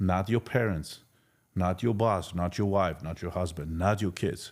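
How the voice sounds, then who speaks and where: With a very deep, low pitch and an animated tone, a man talks at a fairly slow pace with ordinary pitch variation. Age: 50s. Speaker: podcast host. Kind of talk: solo podcast monologue. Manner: emphatic, animated.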